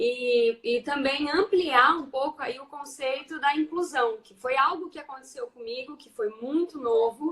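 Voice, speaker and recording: In a rural Brazilian accent, the speaker goes at a very slow pace. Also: woman. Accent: Brazilian countryside accent, kept. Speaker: teacher and education researcher. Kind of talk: casual online talk.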